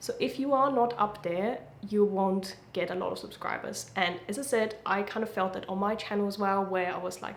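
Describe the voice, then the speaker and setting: A woman with a German accent at a moderate pace, fairly even intonation and hardly any pauses, plus audible room echo and noticeable background noise. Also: medium pitch for a woman. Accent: German accent, lighter than before. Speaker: YouTuber. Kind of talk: casual talk to camera, advice.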